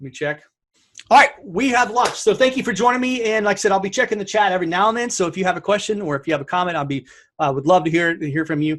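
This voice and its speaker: A high-pitched man speaks at a very fast pace with lively intonation and big swings in loudness. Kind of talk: webinar presentation. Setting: live webinar with screen share. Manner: animated.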